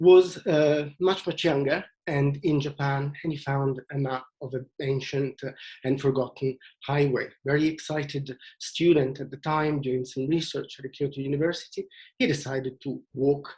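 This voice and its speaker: Somewhat breathy and fairly high-pitched, a man with an Italian accent talks at a moderate pace in a monotone, flat intonation. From Italy, Venice. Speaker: tour leader. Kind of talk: presentation. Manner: halting, many fillers.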